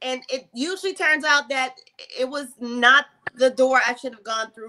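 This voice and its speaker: Raised and projected, a woman's high-pitched voice has a bright, sharp tone and fairly even intonation, moving at a moderate pace over light background noise. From New Orleans. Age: 40s. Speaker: gospel singer; guest. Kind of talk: interview. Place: home room. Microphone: video call.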